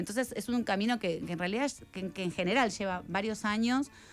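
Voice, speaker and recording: Fairly quick speech from a woman with ordinary pitch variation. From Argentina. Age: 40s. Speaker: writer; guest. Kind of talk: radio interview. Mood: reflective, somewhat somber. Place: studio. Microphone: studio mic.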